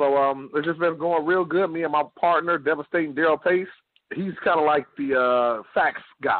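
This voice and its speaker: At a moderate pace, a man speaks in a fairly high voice. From Detroit, Michigan. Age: 40s. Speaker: podcast host, former pro wrestler. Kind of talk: casual interview chat. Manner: animated.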